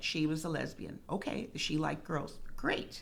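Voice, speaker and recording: A woman's very deep, low voice with vocal fry and an American accent, at a fairly slow pace, with audible room echo. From Rio Grande Valley, Texas (Harlingen). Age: 60s. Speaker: retired school speech therapist, parent support group co-founder. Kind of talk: interview conversation.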